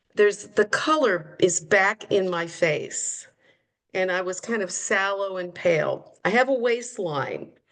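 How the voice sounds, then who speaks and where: At a fairly slow pace, a woman speaks in a plain, everyday voice with a medium pitch and ordinary pitch variation. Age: 60s. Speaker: program participant sharing results. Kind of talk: testimony.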